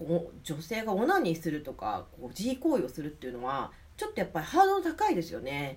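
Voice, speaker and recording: Noticeable background noise sits under a woman talking at a very fast pace, with big swings in loudness and hardly any pauses. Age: 40s. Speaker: podcast host and belly dancer. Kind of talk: solo educational talk. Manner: hesitant, many fillers.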